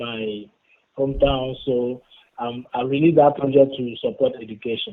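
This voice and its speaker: The speaker has a West African accent and talks at a moderate pace. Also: man. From Benin. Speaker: rapper. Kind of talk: interview. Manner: halting.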